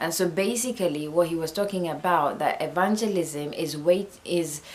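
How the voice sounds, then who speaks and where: Noticeable background noise behind a woman with a non-native accent, fairly low pitch, ordinary pitch variation and a moderate pace. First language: not English. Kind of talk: Bible teaching talk. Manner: halting.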